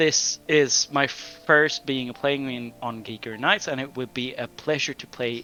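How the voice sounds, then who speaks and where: A man with a medium-pitched voice talks at a fairly slow pace with hardly any pauses and ordinary pitch variation. His loudness swings widely, and music plays in the background. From Sweden. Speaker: game master. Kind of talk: casual chat.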